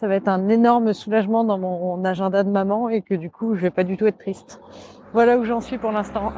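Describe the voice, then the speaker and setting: This woman speaks at a fairly high pitch, with a dark, mellow tone and fairly even intonation. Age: 30s. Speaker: volunteer guide dog foster family. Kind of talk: audio diary voice memo. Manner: hesitant.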